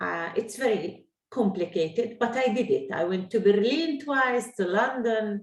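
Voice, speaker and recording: With an Arabic accent, a woman speaks at a fairly high pitch and a fairly slow pace. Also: lively intonation. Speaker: Arabic teacher. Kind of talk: online language lesson. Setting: video call.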